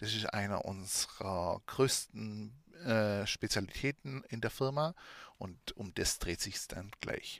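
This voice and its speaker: On a very clean recording with a silent background, a man talks at a very slow pace, his pitch fairly low with ordinary pitch variation. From Swabia, southwest Germany. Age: 30s. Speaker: podcast host and adult shop owner. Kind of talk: educational monologue.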